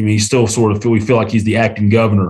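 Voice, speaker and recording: This man speaks with an Appalachian accent. His medium-pitched voice is somewhat breathy. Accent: US Southern (Appalachian North Carolina). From Western North Carolina (Canton). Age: 40s. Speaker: small-town mayor and lawyer. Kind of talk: interview conversation. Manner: animated.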